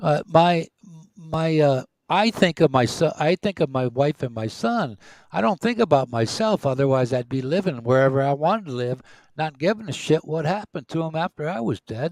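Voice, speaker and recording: A man speaks at a moderate pace with lively intonation, a normal speaking voice. The very clean recording has a silent background and a dry, close sound with no echo. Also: fairly high pitch for a man. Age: 60s. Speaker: retiree co-host of a live stream. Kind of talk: casual chat. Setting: live stream.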